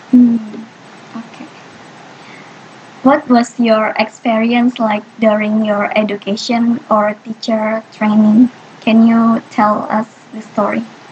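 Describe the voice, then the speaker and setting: A woman's fairly high, flat, monotone voice at a very slow pace, with big swings in loudness, long and frequent pauses, and noticeable background noise. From Indonesia. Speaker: university student interviewer. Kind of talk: student interview.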